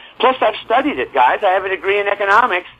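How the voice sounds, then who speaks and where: Over noticeable background noise, a man with an American accent talks at a fairly quick pace. His high-pitched voice has an animated tone and lively intonation. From US. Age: 70s. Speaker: real estate newsletter publisher. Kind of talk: interview. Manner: halting.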